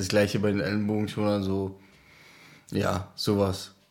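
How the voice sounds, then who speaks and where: A man speaks at a fairly low pitch with monotone, flat intonation. Audible room echo is present. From Czech Republic, near Olomouc. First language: Czech (speaking German). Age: 20s. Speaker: ice hockey player. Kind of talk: interview.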